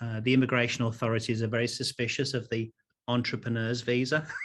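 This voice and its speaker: A man speaks at a medium pitch with an English accent. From England. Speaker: keynote speaker and corporate trainer. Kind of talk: keynote talk. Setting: virtual conference. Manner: animated.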